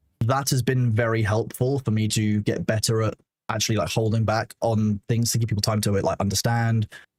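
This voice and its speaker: Somewhat breathy, a man speaks at a medium pitch, the sound dry and close with no echo. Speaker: streamer and moderator. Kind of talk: casual chat. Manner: fast.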